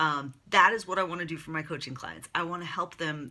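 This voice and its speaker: On a very clean recording with a silent background, a woman speaks at a moderate pace. Her very deep, low pitch has ordinary variation and a bright, sharp tone. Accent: American. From US Northeast (Long Island, New York). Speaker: career and life coach. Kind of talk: casual monologue to camera. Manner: conversational with fillers.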